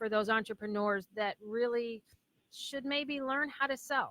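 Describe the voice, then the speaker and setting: A woman's loud, high-pitched voice has a bright, sharp tone, ordinary pitch variation and a moderate pace. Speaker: radio host. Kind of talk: interview.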